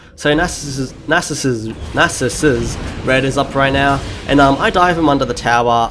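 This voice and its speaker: A man with a medium pitch and ordinary pitch variation talks against noticeable background noise. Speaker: gaming commentator. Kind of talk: gameplay commentary. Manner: fast; casual with frequent fillers.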